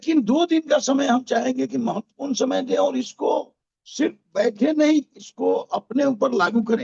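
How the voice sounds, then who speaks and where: The man's pitch is extremely high. His loudness stays very even. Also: ordinary pitch variation. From Bihar, Motihari. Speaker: network marketing team member. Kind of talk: event introduction speech. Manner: formal.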